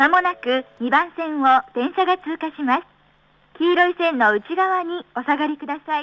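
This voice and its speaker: The pace is moderate. Loudness swings widely. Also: woman, high pitch for a woman, ordinary pitch variation. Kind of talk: train station platform announcement. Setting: PA system.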